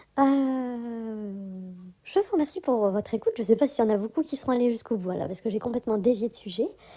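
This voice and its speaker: Fairly high yet dark and mellow in tone, a woman's voice moves at a fairly quick pace with ordinary pitch variation. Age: 40s. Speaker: spiritual vlogger. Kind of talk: casual vlog monologue. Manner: hesitant, many fillers.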